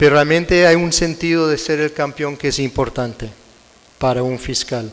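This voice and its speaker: A man with an American accent, fairly high pitched, at a moderate pace. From United States. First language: English (speaking Spanish). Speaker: prosecutor and conference speaker. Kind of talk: lecture. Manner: halting.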